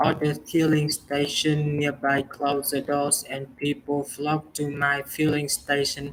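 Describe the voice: A man's monotone, flat delivery, fairly high in pitch, at a slow pace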